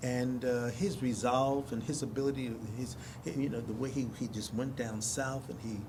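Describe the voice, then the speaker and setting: Speaking at a moderate pace with an American accent, a man with a medium pitch sounds somewhat breathy, his intonation fairly even and the room echo audible. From US Northeast, North Philadelphia. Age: 70s. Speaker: stage actor. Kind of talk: interview. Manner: halting, frequent restarts.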